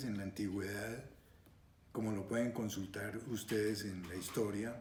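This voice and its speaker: A man talks with a fairly low, dark, mellow voice that is somewhat breathy, and the room echo is audible. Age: 70s. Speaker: retired surgeon and scale modeler. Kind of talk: interview monologue. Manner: hesitant with frequent fillers.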